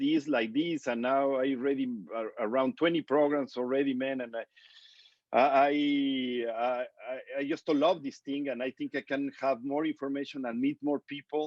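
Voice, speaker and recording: Fairly high in pitch, this man talks at a moderate pace with fairly even intonation. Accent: strong non-native. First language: Spanish. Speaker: interview show host. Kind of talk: casual interview.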